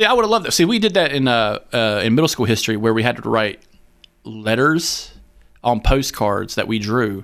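An ordinary speaking voice from a man with an American accent, medium in pitch, with ordinary pitch variation and a moderate pace. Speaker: podcast host. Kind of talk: casual banter comedic chat. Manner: profane, joking.

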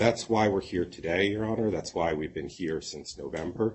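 A man's somewhat breathy, very deep, low voice. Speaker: creditors' committee lawyer.

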